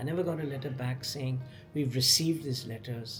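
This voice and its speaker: A man talks with music in the background. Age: 70s. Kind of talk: casual talk to camera.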